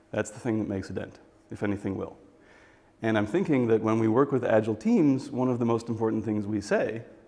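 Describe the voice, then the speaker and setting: A man's very fast speech in an American accent, medium in pitch, dark and mellow in tone, with ordinary pitch variation. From US Midwest. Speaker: agile coach and software developer. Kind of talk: talk to a workshop audience. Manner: conversational, with fillers.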